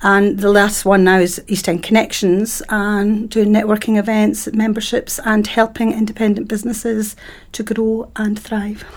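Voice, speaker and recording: A woman's fairly high voice in a Dundee accent, monotone and flat, with hardly any pauses. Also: moderate pace. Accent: Scottish (Dundee). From Scotland, Dundee. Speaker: networking events organiser. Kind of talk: casual interview chat.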